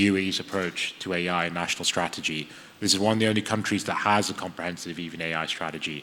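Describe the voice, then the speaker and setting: In an English accent, a man speaks very fast with a very deep, low pitch and flat, monotone intonation. Noticeable background noise runs underneath. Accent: sounds very English. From UAE. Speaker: AI ethics lecturer, panelist. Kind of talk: panel discussion. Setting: conference stage with audience.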